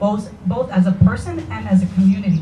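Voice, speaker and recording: A woman speaks fairly quickly with a Spanish accent. Audible room echo and noticeable background noise are in the recording. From Puerto Rico. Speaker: parent speaking at public forum. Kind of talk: public forum comment.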